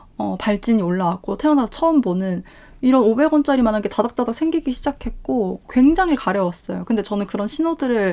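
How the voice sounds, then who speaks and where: A woman's fairly high voice, dark and mellow in tone, at a fairly quick pace with very wide pitch swings. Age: 30s. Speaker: YouTuber. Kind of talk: personal story monologue. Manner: fast.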